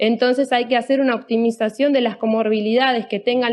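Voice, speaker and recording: The speaker is a woman. Her pitch is high. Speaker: anesthesiologist. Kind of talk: lecture.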